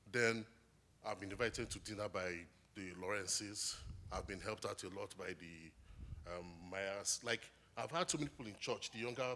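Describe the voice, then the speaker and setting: This man has a fairly low pitch and ordinary pitch variation. He speaks at a moderate pace. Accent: Nigerian. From Nigeria. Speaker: graduate student. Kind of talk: testimony interview. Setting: church stage.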